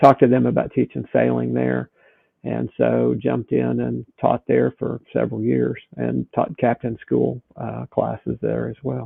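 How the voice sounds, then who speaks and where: A man in a Southern US accent, fairly slow in pace. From US South. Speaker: sailing instructor and boat captain. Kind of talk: podcast interview.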